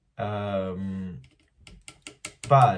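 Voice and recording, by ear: With audible room echo, a man speaks at a low pitch and a very slow pace, his intonation fairly even.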